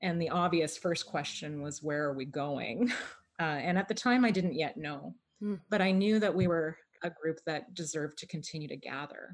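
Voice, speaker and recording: An unremarkable speaking voice with a Canadian accent and ordinary pitch variation comes through on a very clean recording with a silent background. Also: woman. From Canada, Toronto. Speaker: pastor. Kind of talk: interview.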